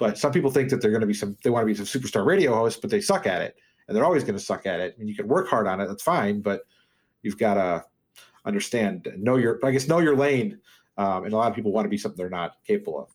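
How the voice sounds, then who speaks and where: Very fast speech from a man at medium pitch with lively intonation, in a very clean recording with a silent background. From US Midwest (Iowa, Chicago suburbs). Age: 40s. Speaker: fantasy sports radio host. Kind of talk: casual chat. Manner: fast talker.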